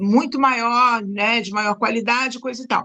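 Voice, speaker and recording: A woman speaks with a bright, sharp tone. Her pitch is fairly high, with ordinary variation. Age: 60s. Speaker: retired teacher. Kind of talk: casual chat.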